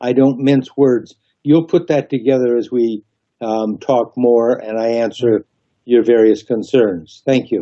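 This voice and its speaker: A man's dark, mellow tone at medium pitch, fairly slow, with ordinary pitch variation. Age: 70s. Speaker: gubernatorial candidate. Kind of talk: radio interview.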